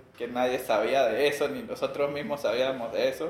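Amid noticeable background noise, a man speaks with a medium pitch at a moderate pace. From Venezuela. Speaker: tech company executive. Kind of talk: interview.

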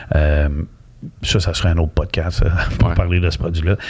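Speaking at a moderate pace, a man with a Quebec accent sounds somewhat breathy. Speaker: mortgage broker. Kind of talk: casual interview.

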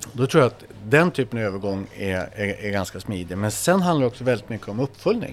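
A man with an ordinary speaking voice, fairly low pitch, lively intonation, a fairly quick pace and hardly any pauses. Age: 50s. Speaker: football academy director. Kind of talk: casual interview. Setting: restaurant.

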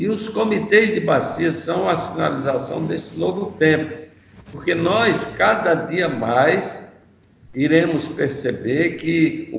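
Over noticeable background noise and audible room echo, a man with a fairly high pitch talks at a very slow pace using lively intonation. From Northeast Brazil, Maceió, Alagoas. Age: 70s. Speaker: environmentalist and journalist, river basin committee president. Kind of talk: interview.

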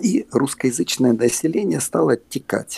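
The man talks at a fairly slow pace, and the sound is dry and close with no echo. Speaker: theatre puppeteer and actor. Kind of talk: casual interview conversation. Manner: rambling, halting, humorous.

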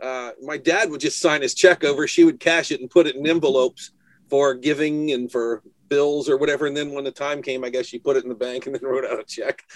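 A man's unremarkable speaking voice, fairly high-pitched, with an American accent, fairly even intonation, a fairly quick pace, big swings in loudness, and a dry, close sound with no echo. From New Hampshire, US. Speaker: window cleaning business owner. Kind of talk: casual chat.

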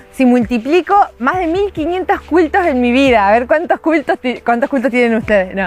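A woman's high-pitched voice with very wide pitch swings, a moderate pace and noticeable background noise. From Argentina. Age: 20s. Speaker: filmmaker and podcast co-creator. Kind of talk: casual interview conversation.

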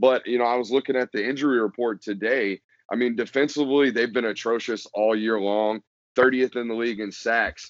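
This man talks at a fairly quick pace in an ordinary speaking voice, medium in pitch with fairly even intonation. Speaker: football podcast guest writer. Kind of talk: casual sports podcast discussion. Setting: podcast recording.

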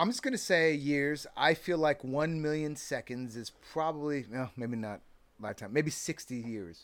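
In an American accent, a plain, everyday voice speaks at a moderate pace on a very clean recording with a silent background. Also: man, fairly high pitch for a man, lively intonation. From California. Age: 40s. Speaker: filmmaker. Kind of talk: casual chat. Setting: studio.

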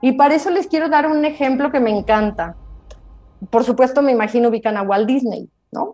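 Over music in the background, a woman speaks at a high pitch and a fairly quick pace with lively intonation. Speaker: lawyer and business coach. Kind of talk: online talk. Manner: animated.

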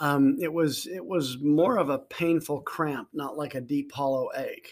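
On a very clean recording with a silent background, a man talks at a moderate pace. He has an unremarkable speaking voice, pitched fairly high. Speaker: life coach podcaster. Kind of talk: casual conversation.

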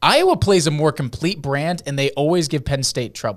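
Here a man talks at a fairly quick pace with a fairly high pitch, in an ordinary speaking voice. The recording is very clean, with a silent background. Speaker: sports podcast host. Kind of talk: casual sports chat.

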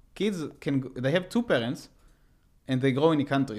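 A man with an Israeli accent, fairly high pitch, lively intonation and a moderate pace. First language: Hebrew. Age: 20s. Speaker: podcast guest. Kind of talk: casual chat.

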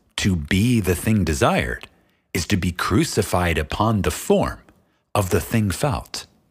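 A man speaks at a fairly slow pace in a very deep, low pitch with vocal fry, very wide pitch swings and a solemn tone, on a very clean recording with a silent background. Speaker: audiobook narrator. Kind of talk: audiobook reading of a spiritual text, scripted solemn narration. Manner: slow, measured, solemn and reverent; formal, deliberate, contemplative cadence.

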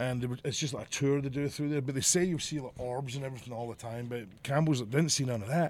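Very fast speech in a Glasgow accent, with ordinary pitch variation. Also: man. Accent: Scottish (Glasgow). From Scotland, Glasgow area. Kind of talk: casual chat.

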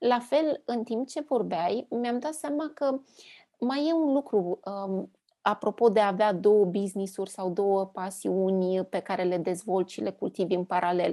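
With lively intonation and a dark, mellow tone, the voice moves at a fairly slow pace in a very clean recording with a silent background. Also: woman, medium pitch for a woman. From Transylvania, Romania. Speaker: podcast host and business consultant. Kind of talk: casual interview chat.

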